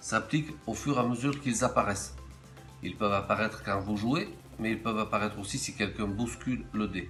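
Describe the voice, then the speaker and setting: Music plays in the background behind a man at a medium pitch. His intonation is lively and his pace fairly quick. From Hautes-Alpes, France. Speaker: game inventor. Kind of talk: game rules explanation.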